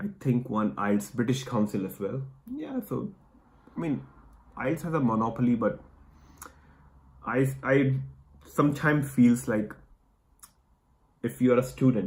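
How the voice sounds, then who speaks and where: A man speaks at a fairly slow pace with long, frequent pauses. His medium pitch carries vocal fry and ordinary pitch variation. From India. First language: Hindi. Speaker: immigration vlogger. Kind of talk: casual chat.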